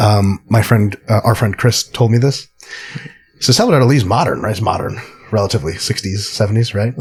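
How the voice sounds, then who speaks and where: With an unremarkable speaking voice, a man talks fairly quickly at a medium pitch, his pitch varying in an ordinary way. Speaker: podcast host, sport scientist. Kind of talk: casual chat.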